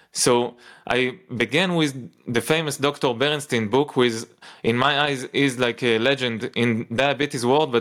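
A man talks at a moderate pace in an ordinary speaking voice, medium in pitch with fairly even intonation. The recording is very clean, with a silent background. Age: 30s. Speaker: nutritionist. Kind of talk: casual chat.

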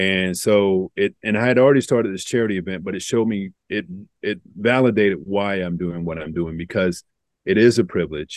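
With a normal speaking voice, a man talks at a fairly quick pace in a fairly low pitch with ordinary pitch variation against a quiet background. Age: 40s. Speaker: amateur endurance runner raising charity funds. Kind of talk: casual chat.

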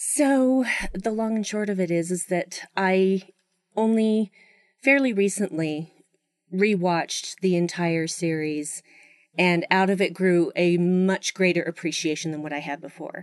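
A woman at a medium pitch, a fairly slow pace, and ordinary pitch variation. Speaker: podcast guest. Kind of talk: casual podcast discussion. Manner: animated, laughs often.

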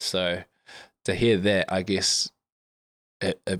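A man with a New Zealand accent and a very deep, low pitch speaks in a monotone, flat intonation, on a very clean recording with a silent background and a dry, close sound with no echo. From New Zealand, Wellington. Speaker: professional rugby player. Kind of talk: casual chat.

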